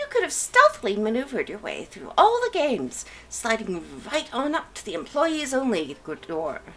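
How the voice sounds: At a moderate pace, a woman uses a put-on character voice pitched high, with big swings in loudness and light background noise.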